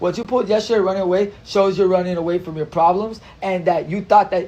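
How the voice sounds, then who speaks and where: A man's high-pitched, flat monotone with a slight Spanish accent, over noticeable background noise. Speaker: social media influencer. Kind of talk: casual livestream chat. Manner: repetitive, stammering.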